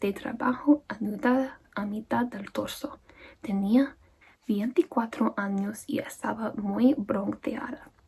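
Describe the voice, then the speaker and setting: The speaker is soft-spoken, with a calm tone and a very slow pace. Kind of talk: soft-spoken ASMR audiobook reading. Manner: soft-spoken, calm.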